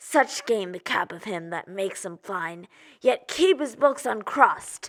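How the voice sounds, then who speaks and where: A female-sounding, put-on character voice speaks at a fairly slow pace in a fairly high pitch. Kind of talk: theatrical monologue, audition style.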